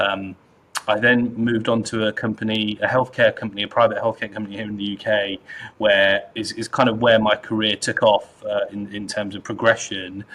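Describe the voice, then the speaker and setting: A man with a British accent, fairly quick and fairly low, in a monotone, flat delivery. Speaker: data executive. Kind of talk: interview. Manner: repetitive, halting.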